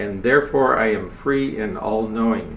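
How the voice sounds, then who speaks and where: Speech at a fairly slow pace comes through noticeable background noise and audible room echo. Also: man. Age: 70s. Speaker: lay speaker giving a spiritual talk. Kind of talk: sermon.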